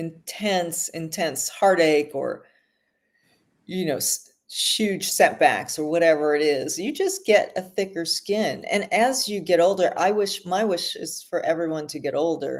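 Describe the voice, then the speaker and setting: A woman with a plain, everyday voice speaks fairly low and at a fairly slow pace, with ordinary pitch variation. The recording is very clean and the background silent. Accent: American. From Los Angeles, US. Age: 60s. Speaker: author and screenwriter. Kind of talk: casual chat.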